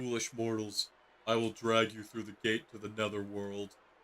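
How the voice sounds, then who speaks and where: A man's put-on character voice at a moderate pace, monotone and flat in intonation. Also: medium pitch for a man. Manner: menacing, theatrical.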